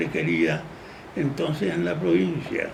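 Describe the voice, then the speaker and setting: A man's pitch swings very widely amid audible room echo and noticeable background noise. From Paraguay. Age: 80s+. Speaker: jurist. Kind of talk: interview.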